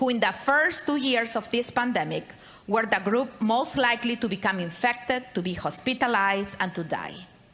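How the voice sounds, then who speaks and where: A woman with a Spanish accent speaks at a moderate pace in a fairly high voice with ordinary pitch variation. Noticeable background noise can be heard. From Latin America. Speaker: state legislator. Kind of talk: floor speech. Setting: legislative chamber. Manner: formal.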